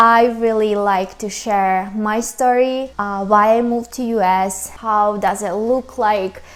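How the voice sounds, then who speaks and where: Speaking with a Ukrainian accent, a woman holds a fairly high pitch in monotone, flat intonation. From Ukraine. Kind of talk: casual talk to camera.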